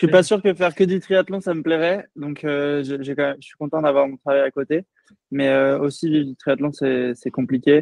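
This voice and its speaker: The speaker goes at a moderate pace with ordinary pitch variation and big swings in loudness. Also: man, fairly high pitch for a man. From French Antilles, Saint-Martin. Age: 20s. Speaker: professional triathlete. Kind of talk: podcast interview. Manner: hesitant, many fillers.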